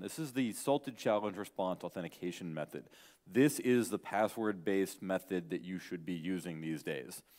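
Male speech at a moderate pace, the background quiet. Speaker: conference speaker. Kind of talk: lecture. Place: hall.

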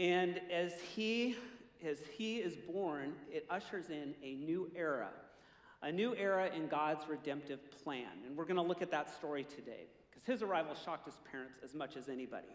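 A man at a moderate pace with big swings in loudness and audible room echo. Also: ordinary pitch variation. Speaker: pastor. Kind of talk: sermon. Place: stage. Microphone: headset.

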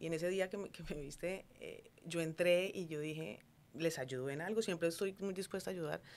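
The voice belongs to a woman. She talks at a moderate speed. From Colombia, Cali. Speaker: entrepreneur, food business owner; guest. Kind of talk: interview conversation. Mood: warm, animated, smiling. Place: studio. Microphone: studio mic.

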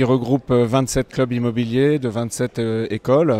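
The sound is dry with no echo as a man speaks in a flat monotone. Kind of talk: announcement to camera. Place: hall. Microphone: handheld.

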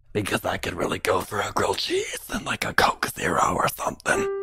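A cartoonish character voice with an extremely high pitch. It moves at a fairly quick pace. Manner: irritable, crude.

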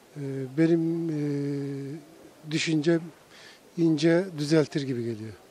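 Very slow and fairly even in intonation, a man speaks in a dark, mellow tone, the sound dry with no echo. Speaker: retired tourism manager. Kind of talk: street interview opinion. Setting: outdoors. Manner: halting. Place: street. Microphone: handheld.

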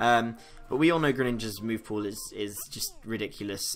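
With faint music in the background, a man talks at a fairly quick pace with ordinary pitch variation. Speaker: game streamer. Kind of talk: casual stream commentary. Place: home room.

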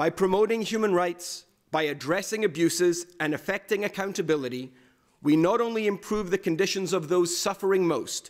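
A man speaks at a moderate pace in a high pitch, with ordinary pitch variation over a quiet background. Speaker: speaker. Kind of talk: formal speech. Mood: earnest, formal.

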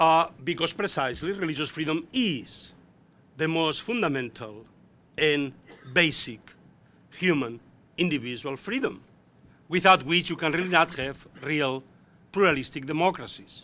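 A man with a Spanish accent speaks in a fairly high pitch, his tone bright and sharp. His intonation is lively, broken by long, frequent pauses. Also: moderate pace. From Spain. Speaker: professor. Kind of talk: panel discussion. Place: meeting room. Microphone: podium.

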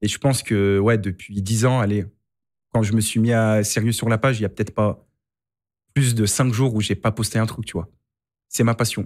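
A man talks at a moderate pace in a fairly low, monotone voice with flat intonation. The background is quiet. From Lyon, France; France. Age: 30s. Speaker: football coach and content creator; podcast guest. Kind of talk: casual chat. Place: studio. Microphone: studio mic.

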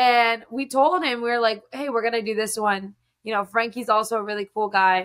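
Against a quiet background, a plain, everyday voice moves at a moderate pace with ordinary pitch variation. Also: woman. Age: 20s. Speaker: singer. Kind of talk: casual interview. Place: home room.

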